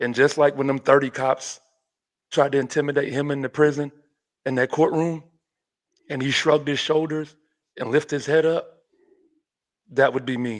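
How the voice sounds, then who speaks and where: Over a silent background in a very clean recording, a man speaks at a moderate pace in a fairly high pitch. His delivery is monotone and flat, with long, frequent pauses. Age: 40s. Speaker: podcast host. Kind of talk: casual discussion.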